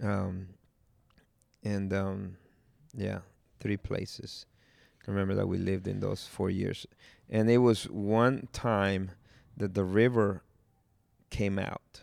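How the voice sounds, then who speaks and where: A man in a Spanish accent at a fairly low pitch, with a very slow pace, long, frequent pauses and fairly even intonation, in a very clean recording with a silent background. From Guatemala. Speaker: pastor's son sharing life story. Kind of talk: testimony. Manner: halting.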